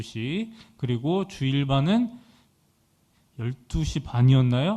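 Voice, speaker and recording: A man speaks very slowly at a fairly high pitch, in a dark, mellow tone. His pitch swings very widely. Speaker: youth pastor. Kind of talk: sermon with announcements.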